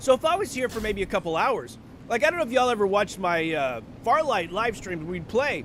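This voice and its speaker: A man speaks loudly and at a fairly quick pace. His pitch is high, and his tone is animated. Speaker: livestreamer. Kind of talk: casual chat. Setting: livestream from home.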